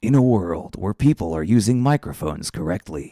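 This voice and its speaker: In a put-on character voice, a man booms at a fairly low pitch and fairly quick pace, his tone dramatic and his pitch swinging very widely, in a dry, close sound with no echo. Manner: close to the microphone, dramatic.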